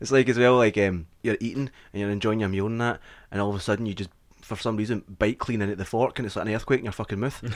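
With a Scottish accent, a man speaks at a very fast pace in a fairly low pitch with fairly even intonation, captured on a very clean recording with a silent background. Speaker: comedy podcast host. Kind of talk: casual chat.

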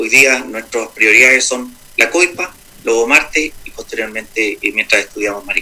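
A man speaks at a medium pitch and moderate pace, his pitch varying in an ordinary way, while noticeable background noise carries on behind him. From Chile, Santiago. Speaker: mining executive. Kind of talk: radio interview.

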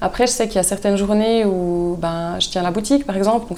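Noticeable background noise sits under a woman talking at a very fast pace, her medium pitch showing ordinary variation. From Swiss Jura (Porrentruy). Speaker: artisan soap maker. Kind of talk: casual interview chat.

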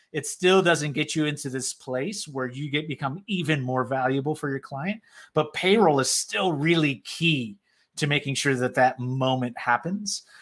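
Speaking at a moderate pace, a man uses an unremarkable speaking voice with fairly high pitch and ordinary pitch variation. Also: very clean recording, silent background. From South Florida, Puerto Rican background. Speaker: accounting community lead at payroll software company. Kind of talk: casual interview.

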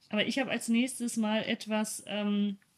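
Somewhat breathy and medium in pitch, a woman speaks at a fairly slow pace. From Germany, East Westphalia. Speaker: podcast co-host. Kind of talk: casual chat. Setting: video call.

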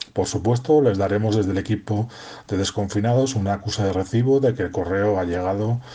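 A man with a dark, mellow tone and a fairly low pitch sounds somewhat breathy. He talks at a fairly quick pace with ordinary pitch variation. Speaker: poetry contest organizer. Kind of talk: recorded voice message.

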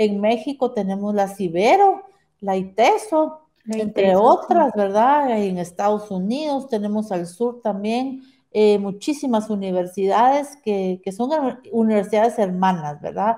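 At a fairly slow pace, this voice carries a dark, mellow tone with ordinary pitch variation. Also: woman, fairly high pitch for a woman. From Guatemala. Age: 50s. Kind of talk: interview conversation.

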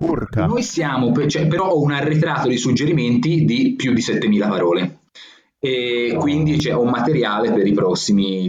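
With a Tuscan accent, a man speaks at a moderate pace using lively intonation. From Florence, Tuscany. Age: 20s. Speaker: blogger and language writer. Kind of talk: interview. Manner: halting, many fillers and repetitions.

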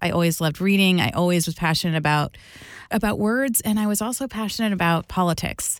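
A woman with an American accent speaks in an unremarkable speaking voice at a fairly low pitch and a fairly quick pace. Her pitch varies in an ordinary way on a very clean recording with a silent background. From New Jersey. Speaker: communication expert. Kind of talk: interview.

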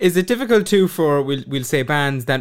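A man with a western Irish accent speaks in a fairly high pitch at a moderate pace. The recording is very clean, with a silent background. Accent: Irish (west of Ireland). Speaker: podcast host. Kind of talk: casual chat, interview.

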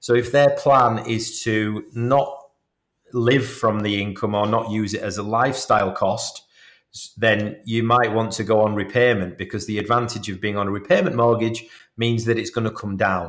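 With a British accent, a man speaks at a moderate pace and medium pitch. His intonation stays fairly even. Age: 40s. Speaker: mortgage adviser. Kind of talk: podcast interview.

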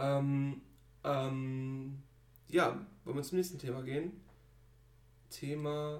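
The speech moves at a very slow pace with long, frequent pauses and fairly even intonation. Audible room echo fills the recording. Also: man, fairly high pitch for a man. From Germany. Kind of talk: casual chat.

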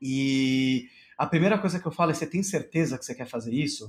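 Here a man with an ordinary speaking voice talks at a fairly quick pace. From Brazil, São Paulo. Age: 30s. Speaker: rabbi and entrepreneur. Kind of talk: interview, casual chat. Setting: live-streamed podcast recording.

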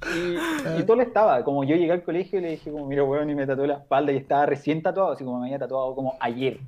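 Talking at a very fast pace, a man with a fairly high pitch and ordinary pitch variation is heard against noticeable background noise. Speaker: screenwriter. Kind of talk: casual chat.

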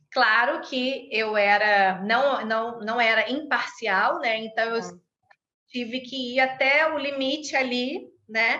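A high-pitched woman at a very slow pace, with a bright, sharp tone, ordinary pitch variation and audible room echo. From Brazil. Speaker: conflict mediator and law lecturer. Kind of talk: interview.

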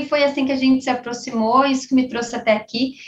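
A woman speaks at a fairly quick pace with monotone, flat intonation. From southern Brazil, Caxias do Sul, Rio Grande do Sul. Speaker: sales executive. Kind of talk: casual interview.

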